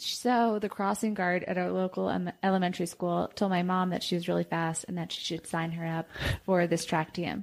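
A woman with an American accent speaks at a moderate pace in an unremarkable speaking voice. Her pitch is fairly low and her intonation fairly even. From New York. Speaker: professional runner. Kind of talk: casual interview.

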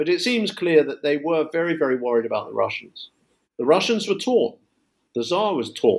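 A man talks in a London accent at a high pitch. His pitch swings very widely. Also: moderate pace. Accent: southern English (London). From London, England. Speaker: history professor. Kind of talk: interview about his book. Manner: hesitant, many filler words.

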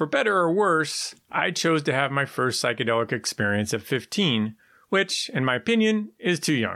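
Over a very clean, silent background, a man with a West Coast US accent has a bright, sharp tone and very wide pitch swings at a moderate pace. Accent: General American, West Coast. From San Francisco, California. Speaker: executive coach. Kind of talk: scripted narration.

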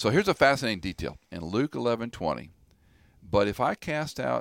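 Over a silent background in a very clean recording, a man speaks with vocal fry and very wide pitch swings. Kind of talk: conversational biblical teaching. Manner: explanatory.

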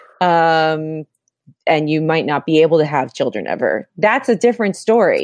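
A woman with an American accent and an ordinary speaking voice talks at a moderate pace and a fairly low pitch, with a dry, close sound with no echo and a quiet background. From Florida. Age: 30s. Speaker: filmmaker. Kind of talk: casual chat.

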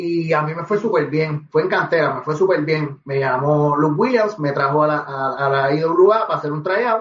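A man's fairly high voice at a moderate pace, with ordinary pitch variation and hardly any pauses. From Puerto Rico, Guaynabo. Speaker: professional wrestler and reggaeton artist. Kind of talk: interview.

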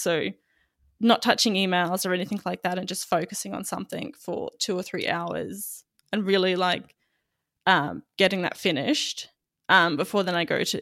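Speaking at a moderate pace in an Australian accent, a woman with vocal fry and a medium pitch comes through on a very clean recording with a silent background. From Queensland, Australia. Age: 20s. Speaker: magazine editor. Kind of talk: interview conversation.

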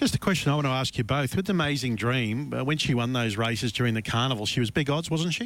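A man with an Australian accent talks at a very fast pace with hardly any pauses. His loudness stays very even, and his pitch varies in an ordinary way. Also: medium pitch for a man. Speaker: radio racing show host. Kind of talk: casual radio chat. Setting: radio studio.

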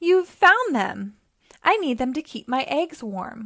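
This is a put-on character voice with big pitch swings. It moves at a slow pace. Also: woman, high pitch for a woman.

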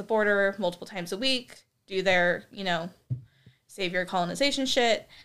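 On a very clean recording with a silent background, a woman speaks at medium pitch and a moderate pace in a bright, sharp tone. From US Pacific Northwest. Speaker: guest asking questions. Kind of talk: casual chat.

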